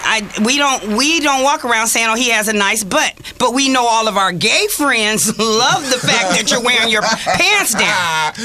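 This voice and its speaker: A woman speaks at a moderate pace with a fairly high pitch and lively intonation. Her loudness stays very even over noticeable background noise. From Los Angeles, California (Watts, Inglewood). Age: 50s. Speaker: community activist. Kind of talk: radio talk show discussion.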